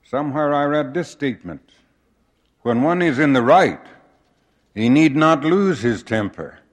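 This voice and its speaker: A man with an American accent speaks fairly high in pitch with ordinary pitch variation, at a fairly slow pace with long, frequent pauses, against a quiet background. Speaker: church leader giving a conference address. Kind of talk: formal sermon-like conference address, earnest and measured, with prayerful close. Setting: conference pulpit before a large congregation. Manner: formal, earnest, measured; occasional halting restarts.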